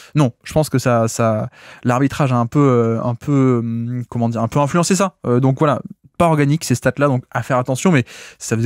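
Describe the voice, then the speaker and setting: A man with a southern French accent speaks at a medium pitch with ordinary variation. The sound is dry and close with no echo, the recording very clean with a silent background. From southern France. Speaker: basketball podcaster. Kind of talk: solo podcast analysis. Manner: hesitant, many filler sounds.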